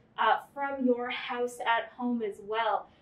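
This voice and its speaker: A woman's speech carries audible room echo. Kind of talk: casual tour commentary. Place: hall. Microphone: camera far.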